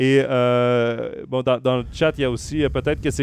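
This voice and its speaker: A man with a Quebec accent speaks at a moderate pace in a medium pitch, his intonation fairly even. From Quebec, Trois-Rivières. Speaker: hockey podcast host. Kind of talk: sports talk show. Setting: live stream with chat.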